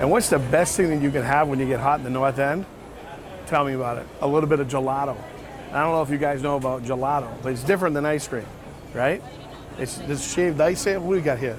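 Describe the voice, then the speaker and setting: A man with an American accent speaks very fast at a fairly high pitch with ordinary pitch variation, amid audible room echo and noticeable background noise. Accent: Boston accent, toned down. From Boston, Massachusetts. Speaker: travel vlogger. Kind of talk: casual vlog presenting. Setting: outdoors at street festival. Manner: animated.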